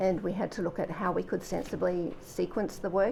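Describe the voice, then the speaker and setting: Quiet and dark, mellow in tone, this voice with an Australian accent has vocal fry, fairly even intonation and a moderate pace. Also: woman. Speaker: government official. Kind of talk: sworn testimony. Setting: public hearing. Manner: formal.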